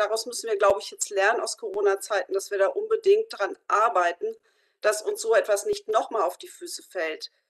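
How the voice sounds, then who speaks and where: The woman is heard against a quiet background. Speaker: youth and community work representative. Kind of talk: discussion statement. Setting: video call. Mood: earnest, concerned. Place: home room. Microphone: video call.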